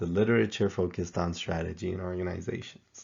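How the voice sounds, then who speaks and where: A man with a non-native accent speaks at a moderate pace in a very deep, low voice. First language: not English. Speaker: professor. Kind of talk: tutorial.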